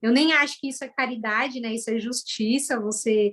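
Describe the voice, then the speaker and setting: A woman with a São Paulo accent speaks at a moderate pace in a fairly high pitch against a quiet background. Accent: Brazilian Portuguese, São Paulo (paulistano). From Brazil, São Paulo east zone. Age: 30s. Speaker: former educator turned data analyst. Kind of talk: interview testimony.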